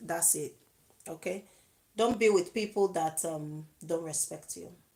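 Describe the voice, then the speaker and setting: The speaker has a plain, everyday voice, varying pitch in an ordinary way at a moderate pace. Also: woman. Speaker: YouTube vlogger giving relationship advice. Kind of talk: live video monologue.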